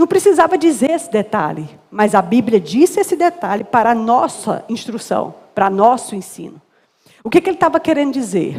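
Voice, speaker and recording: A woman's high-pitched, animated voice with very wide pitch swings. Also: moderate pace. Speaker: guest preacher. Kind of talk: sermon.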